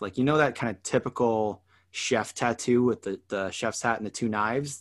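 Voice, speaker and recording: A man with a Canadian accent talks fairly quickly in an unremarkable speaking voice, medium in pitch and fairly even in intonation. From Canada. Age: 30s. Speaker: podcast host. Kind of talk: casual chat.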